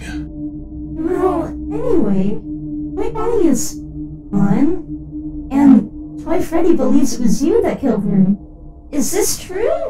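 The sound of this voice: Over loud background noise, a put-on character voice moves at a fairly slow pace with long, frequent pauses.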